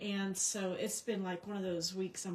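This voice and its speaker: A woman talks at a medium pitch and a fairly slow pace. Noticeable background noise sits behind her. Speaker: craft demonstrator. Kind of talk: live craft tutorial stream. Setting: livestream from home craft desk. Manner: hesitant, many fillers; quiet, slightly mumbling. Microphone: possible echo, low volume.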